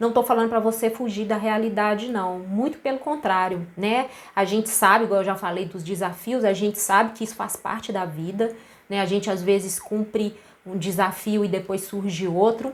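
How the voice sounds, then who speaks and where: A woman speaks in an unremarkable speaking voice at a medium pitch and moderate pace, with fairly even intonation. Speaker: naturopathic therapist. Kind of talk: live stream talk. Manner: casual.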